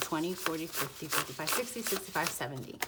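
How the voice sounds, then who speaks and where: Quietly, a woman talks at a very fast pace and a fairly low pitch. Noticeable background noise is present. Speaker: budgeting vlogger. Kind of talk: casual tutorial, counting cash. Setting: home, apartment with thin walls. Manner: quieter, lowered voice.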